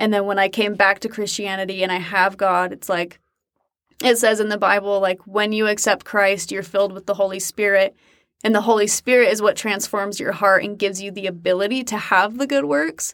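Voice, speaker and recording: A woman's unremarkable speaking voice in an American accent, medium pitch, fairly quick, with fairly even intonation. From Utah. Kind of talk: interview conversation. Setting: in-person studio. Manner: casual, many filler words.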